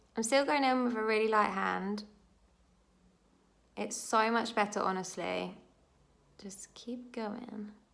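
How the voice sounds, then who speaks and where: Audible room echo surrounds a woman talking fairly slowly in a fairly high pitch, with fairly even intonation, big swings in loudness and long, frequent pauses. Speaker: beauty vlogger. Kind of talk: tutorial. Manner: stumbles over words.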